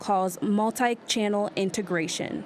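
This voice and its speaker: Medium in pitch, a woman talks in a plain, everyday voice. Her pitch varies in an ordinary way. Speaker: TV reporter / multimedia journalist. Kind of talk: TV news reporter package.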